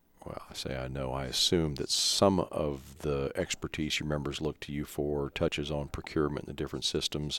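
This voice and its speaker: A man with a Midwestern American accent speaks at a moderate pace. His voice is very deep and low, with flat, monotone intonation. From small-town Kansas. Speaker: podcast host, association director. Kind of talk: interview. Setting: public works office.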